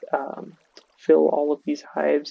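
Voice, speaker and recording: A man speaks quietly at a fairly slow pace. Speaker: gaming youtuber. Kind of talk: gameplay tutorial. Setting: home recording at night. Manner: casual.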